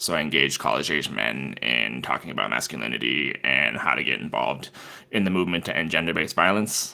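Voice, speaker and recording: With a very deep, low pitch and lively intonation, a man speaks at a very fast pace. His loudness is very even, and there is noticeable background noise. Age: 30s. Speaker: hotline coordinator. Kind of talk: podcast interview. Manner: casual, hesitant with fillers.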